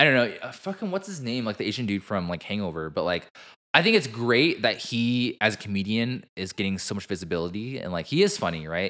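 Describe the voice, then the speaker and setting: Loud and bright with a sharp tone, the voice moves at a fairly quick pace. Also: man, medium pitch for a man, lively intonation, very clean recording, silent background. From Vietnamese-American, US. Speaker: podcast co-host. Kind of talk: casual chat.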